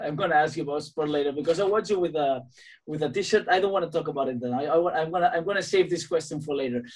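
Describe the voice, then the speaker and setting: A man with a Spanish accent, fairly high pitch and ordinary pitch variation. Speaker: podcast host, gym owner, musician. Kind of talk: interview in second language. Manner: halting.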